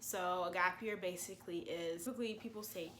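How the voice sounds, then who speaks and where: There is audible room echo around this woman's voice. Her pitch sits in the medium range. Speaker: medical school student YouTuber. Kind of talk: vlog talking to camera. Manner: casual, conversational.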